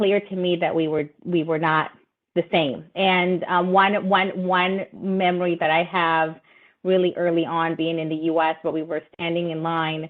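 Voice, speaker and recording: A woman with a Spanish accent speaks at a fairly slow pace and a fairly low pitch. Her intonation is monotone and flat. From Latin America (Nicaragua, Brazil, Ecuador, Peru, Colombia), moved to US at 12. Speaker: lawyer, panelist. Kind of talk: webinar panel discussion. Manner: hesitant, many fillers.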